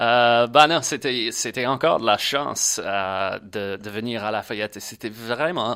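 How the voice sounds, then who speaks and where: A man with an English accent, medium pitch, a bright, sharp tone, ordinary pitch variation and a fairly slow pace, on a very clean recording with a silent background. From Louisiana, Baton Rouge. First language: English (speaking French). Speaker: agency worker, former scholarship holder. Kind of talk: casual podcast interview. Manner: hesitant, many fillers.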